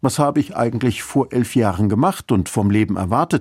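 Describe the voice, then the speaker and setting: A man's medium-pitched, dark, mellow voice at a moderate pace, in a very clean recording with a silent background. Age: 50s. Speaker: church radio speaker. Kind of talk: scripted radio devotional.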